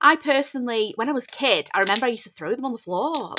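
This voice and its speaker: A woman with a Northern English accent. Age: 30s. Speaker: budgeting content creator. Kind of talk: casual talk to camera.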